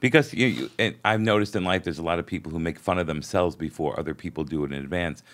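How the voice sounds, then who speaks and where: A man with a New York accent speaks at a very deep, low pitch with ordinary pitch variation. The recording is very clean, with a silent background. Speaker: podcast host and comedian. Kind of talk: casual interview chat.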